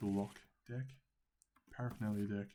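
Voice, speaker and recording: Someone speaks quietly at a fairly slow pace. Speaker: game designer demoing a playtest. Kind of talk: tutorial. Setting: at home.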